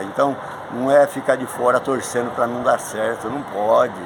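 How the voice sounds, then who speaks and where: Noticeable background noise surrounds a man speaking at medium pitch. His pace is fairly slow and his intonation fairly even. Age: 70s. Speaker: retired teacher and sports official. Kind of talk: interview.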